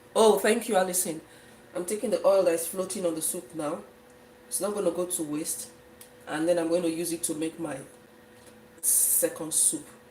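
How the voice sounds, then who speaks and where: With noticeable background noise, a woman with a fairly low-pitched voice speaks with long, frequent pauses. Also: ordinary pitch variation, moderate pace. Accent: Nigerian. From Nigeria, Efik region (southeast). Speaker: cooking livestreamer. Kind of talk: live cooking stream, casual chat with viewers.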